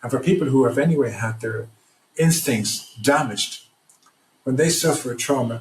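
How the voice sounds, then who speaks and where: A somewhat breathy man with an Irish accent, medium pitch, ordinary pitch variation, moderate pace, and long, frequent pauses. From Ireland. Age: 60s. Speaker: trauma recovery program founder. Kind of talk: podcast interview. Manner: halting, repeats words.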